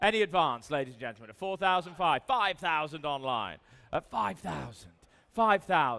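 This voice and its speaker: With an English accent, a man speaks in a bright, sharp tone. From England. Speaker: auctioneer. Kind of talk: live auction calling. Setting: live auction room.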